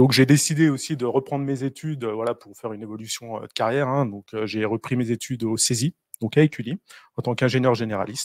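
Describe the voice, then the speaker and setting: Against a quiet background, a man talks at a fairly quick pace with fairly even intonation in a dry sound with no echo. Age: 30s. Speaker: engineering consultant; presenter. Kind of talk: presentation. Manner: halting. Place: meeting room. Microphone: handheld.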